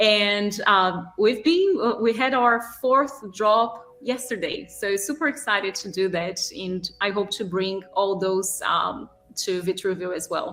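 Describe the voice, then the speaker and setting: Over noticeable background noise, a woman with a strong Brazilian accent talks at a very slow pace and medium pitch, with hardly any pauses. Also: ordinary pitch variation. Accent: thick Brazilian Portuguese. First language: Portuguese. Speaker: artist and gallery manager. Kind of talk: interview.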